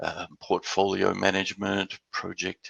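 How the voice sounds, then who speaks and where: The recording is dry and close, with no echo. A man speaks with an Australian accent. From Western Australia and Houston. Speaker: business development executive. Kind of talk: business presentation. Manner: hesitant, many repeated words.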